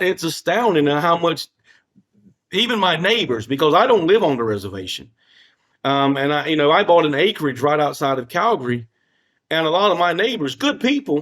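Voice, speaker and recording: A man with a slight Southern US accent, fairly high in pitch with very wide pitch swings, at a moderate pace, on a very clean recording with a silent background. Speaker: former First Nation chief and finance professional. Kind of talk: podcast interview. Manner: repetitive, halting phrasing.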